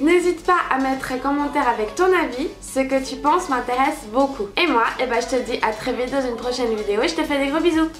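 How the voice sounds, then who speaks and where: A woman with a high voice talks at a fairly quick pace, with hardly any pauses and ordinary pitch variation. Audible room echo and noticeable background noise are present. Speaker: beauty youtuber. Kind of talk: makeup tutorial.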